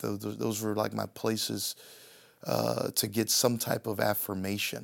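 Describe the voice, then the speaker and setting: A man on a very clean recording, silent background. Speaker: pastor. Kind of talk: interview. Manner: halting.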